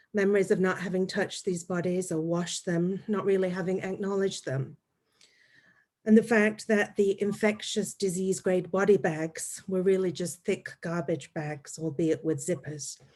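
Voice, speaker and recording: A woman's medium-pitched voice with fairly even intonation at a moderate pace. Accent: English. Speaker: anthropologist. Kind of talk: academic panel talk.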